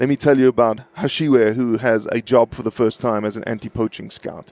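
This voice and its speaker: A man talks at a fairly quick pace with a medium pitch and fairly even intonation. The sound is dry and close, with no echo. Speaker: conservation advocate. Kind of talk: podcast interview. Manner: calm, patient.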